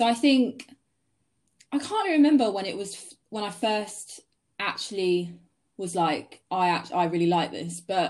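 With a southern English accent, a woman speaks at a fairly slow pace with lively intonation, big swings in loudness, and long, frequent pauses. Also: medium pitch for a woman. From Sussex, southern England. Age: 20s. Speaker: photographer. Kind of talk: interview. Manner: casual.

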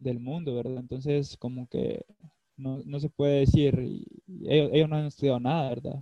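A man speaks in a normal speaking voice. His medium pitch carries fairly even intonation. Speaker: former footballer and psychology student. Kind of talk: casual chat.

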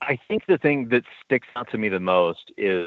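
Talking at a moderate pace, a man with an unremarkable speaking voice has a fairly low pitch and ordinary pitch variation. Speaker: police detective. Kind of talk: interview. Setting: phone call.

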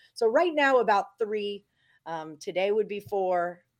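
Speaking in an ordinary speaking voice with an American accent, a woman of medium pitch uses lively intonation at a fairly slow pace on a very clean recording with a silent background. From Texas, Houston. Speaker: sports betting handicapper. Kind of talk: casual chat.

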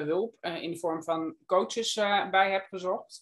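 Using an ordinary speaking voice, a woman talks at a medium pitch with fairly even intonation. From Netherlands. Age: 50s. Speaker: guesthouse owner. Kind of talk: interview. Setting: video call.

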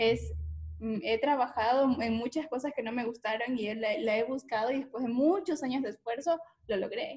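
A high-pitched woman's voice at a moderate pace, with ordinary pitch variation. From Ecuador, coastal region (La Concordia). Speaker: podcast host. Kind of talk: casual interview.

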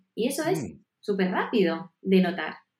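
A woman's somewhat breathy voice has a dark, mellow tone. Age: 40s. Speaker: nutrition and health advisor. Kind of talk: interview.

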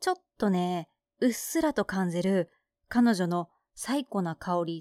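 A woman at medium pitch with lively intonation, on a very clean recording with a silent background and a dry, close sound with no echo. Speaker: radio podcast host. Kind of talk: casual chat. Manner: laughing.

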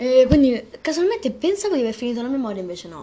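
At a fairly quick pace, a woman speaks with lively intonation and a dark, mellow tone. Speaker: amateur podcast host. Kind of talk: casual chat. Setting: bedroom. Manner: animated.

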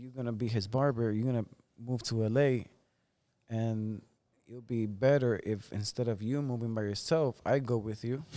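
At a moderate pace, a man in a Spanish accent speaks at a medium pitch with fairly even intonation and big swings in loudness. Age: 30s. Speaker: barber. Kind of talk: casual chat.

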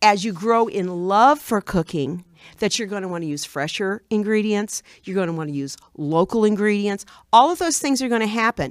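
Over a silent background in a very clean recording, a woman speaks with an American accent and an unremarkable speaking voice. Her medium pitch has lively intonation at a moderate pace. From Illinois, US. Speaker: retired teacher and home cook. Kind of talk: casual chat.

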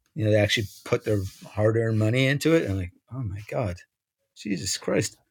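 A man with an American accent talks very fast yet leaves long, frequent pauses. His fairly low voice is somewhat breathy, with ordinary pitch variation. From New York. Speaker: music magazine publisher and musician. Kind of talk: casual interview. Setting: internet call. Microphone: internet problems.

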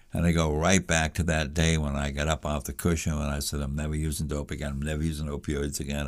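Very deep and low in pitch, a man speaks at a moderate pace. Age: 70s. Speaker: meditation monk in recovery. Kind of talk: casual chat.

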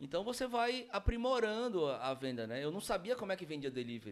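The man talks at a fairly fast clip. His voice leaps through very wide pitch swings. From Brazil, Manaus (Amazonas). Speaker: franchise owner. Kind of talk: casual chat.

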